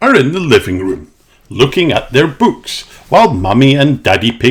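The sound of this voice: The reading here is done in an unforced voice.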